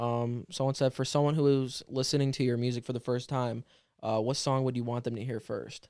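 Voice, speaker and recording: A man with a medium pitch and a dark, mellow tone speaks at a fairly quick pace. His intonation is monotone and flat. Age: 20s. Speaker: rapper. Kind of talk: casual chat.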